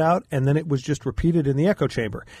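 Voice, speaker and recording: This man has a fairly high pitch, ordinary pitch variation, a somewhat breathy sound, and an American accent. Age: 60s. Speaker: attorney, educator and former mayor. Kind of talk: talk radio discussion. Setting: studio.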